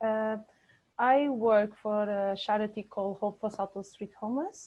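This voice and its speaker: A woman's fairly high voice in a Portuguese accent, with fairly even intonation at a moderate pace. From Portugal, Bragança. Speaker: charity worker for the homeless. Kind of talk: interview. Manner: halting.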